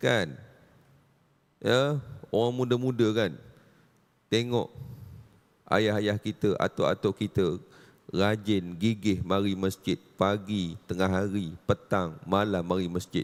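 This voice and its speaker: Very slowly and with long, frequent pauses, a man with a fairly low voice speaks at a very even loudness and ordinary pitch variation. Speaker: religious teacher. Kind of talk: religious lecture. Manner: animated.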